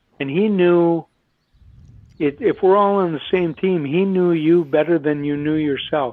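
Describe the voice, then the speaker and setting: This man has a normal speaking voice with an American accent and fairly high pitch. He talks at a moderate pace with ordinary pitch variation. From Minnesota. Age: 60s. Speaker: retired Olympic hockey player. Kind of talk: podcast interview.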